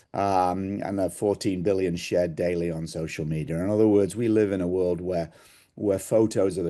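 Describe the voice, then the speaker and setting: A man's very deep, low voice with an English accent, dark and mellow in tone, with ordinary pitch variation, at a fairly quick pace over a quiet background. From England. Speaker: sales executive. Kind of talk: presentation. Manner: hesitant with fillers.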